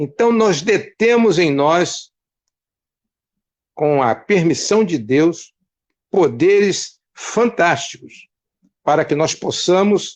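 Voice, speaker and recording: A man's high voice at a very slow pace, lively in intonation, with long, frequent pauses over a quiet background. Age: 70s. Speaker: retired pastor.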